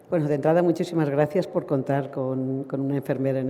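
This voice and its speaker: This woman's voice has a very deep, low pitch. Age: 70s. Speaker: nurse lecturer. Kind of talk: lecture. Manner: halting, with many fillers and restarts.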